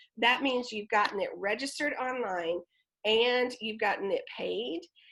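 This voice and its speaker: Her tone comes across as bright and sharp. This woman talks at a moderate pace. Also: fairly high pitch for a woman, ordinary pitch variation. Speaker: theatre event coordinator. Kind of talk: online presentation walkthrough.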